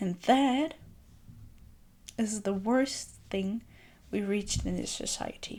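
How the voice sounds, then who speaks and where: A soft-spoken woman with a calm tone at a very slow pace. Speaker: self-care video creator. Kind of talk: gentle reflective monologue.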